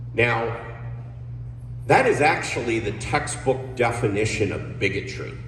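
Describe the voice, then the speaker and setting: A man with an American accent at a fairly slow pace, with long, frequent pauses and audible room echo. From New Jersey. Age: 60s. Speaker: political candidate. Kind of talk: campaign speech.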